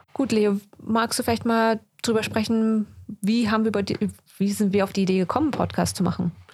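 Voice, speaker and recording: A somewhat breathy voice speaks at a fairly quick pace, with very even loudness and fairly even intonation. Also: woman, fairly high pitch for a woman. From Germany, then UK from childhood. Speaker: podcast co-host, doctor. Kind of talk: casual chat. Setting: studio.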